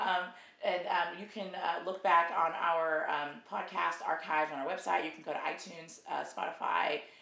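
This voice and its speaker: Over clearly audible background noise, the delivery holds a moderate speed and a normal amount of pitch movement. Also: woman. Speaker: video host. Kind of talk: casual interview intro. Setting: video recording. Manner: warm, encouraging.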